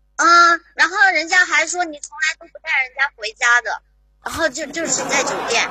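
Her raised, projected voice sits at an extremely high pitch, with big swings in loudness, ordinary pitch variation and a moderate pace. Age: 30s. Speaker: caller, show fan. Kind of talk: flirtatious banter call-in. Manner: giggly.

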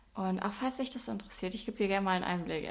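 A woman at medium pitch, at a very fast pace. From Bavaria (Swabian region). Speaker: online fitness and nutrition coach. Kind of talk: casual vlog narration. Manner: animated.

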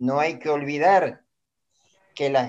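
His voice is fairly high. The man talks at a very slow pace. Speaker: painter and exhibition curator. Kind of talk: interview testimony. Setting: live-streamed video interview.

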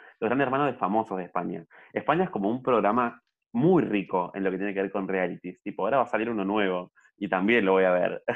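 Very fast speech carries ordinary pitch variation. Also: man, fairly low pitch for a man. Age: young. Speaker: podcast co-host. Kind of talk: casual chat. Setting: at home during quarantine. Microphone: audio problems.

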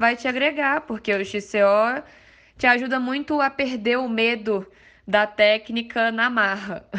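Her voice is bright and sharp, with a fairly high pitch and ordinary pitch variation, as a woman speaks over a quiet background. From Minas Gerais, Brazil (Mariana). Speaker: amateur mountain bike racer. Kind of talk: podcast interview.

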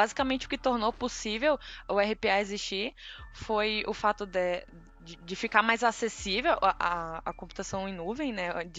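A woman with an unremarkable speaking voice talks at a fairly slow pace. Her pitch is fairly high. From Tocantins, northern Brazil. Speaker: RPA developer. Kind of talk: casual interview.

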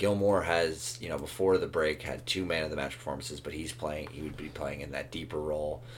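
A man talks with a very deep, low pitch and vocal fry. His pitch varies in an ordinary way. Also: fairly quick pace. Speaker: soccer podcast co-host. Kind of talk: casual banter, sports discussion. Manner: conversational, hedging with filler.

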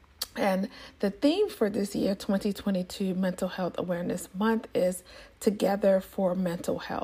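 A woman speaks at a fairly slow pace with fairly even intonation. Her medium-pitched voice has a dark, mellow tone and is somewhat breathy. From Nigeria. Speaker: podcast host, public health advisor. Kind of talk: solo podcast monologue. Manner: casual with frequent fillers.

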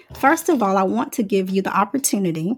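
A woman with an ordinary speaking voice talks at a medium pitch with lively intonation. The recording is very clean, with a silent background. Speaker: podcast host and social worker. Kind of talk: interview conversation.

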